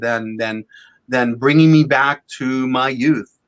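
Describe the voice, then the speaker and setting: Recorded very cleanly against a silent background, a man talks at a fairly slow pace with ordinary pitch variation. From Lebanon (Beirut), moved to Boston area as a child. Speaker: comic art collector and dealer. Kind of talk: interview. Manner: hesitant, many fillers and repetitions.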